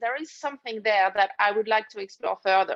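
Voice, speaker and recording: Her pitch varies in an ordinary way as a woman talks with a French accent. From France, Paris. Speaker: leadership coach. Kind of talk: interview.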